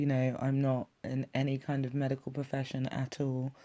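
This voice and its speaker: The speaker talks fairly slowly with an English accent. The recording is very clean, with a silent background. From England. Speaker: YouTube reaction commentator. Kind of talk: video reaction commentary.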